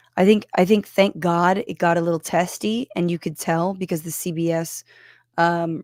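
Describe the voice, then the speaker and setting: Quiet and fairly low in pitch, a woman speaks with fairly even intonation in a dry, close sound with no echo, on a very clean recording with a silent background. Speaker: political podcast host. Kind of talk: live reaction commentary. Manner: speaking quietly; casual, filler-heavy.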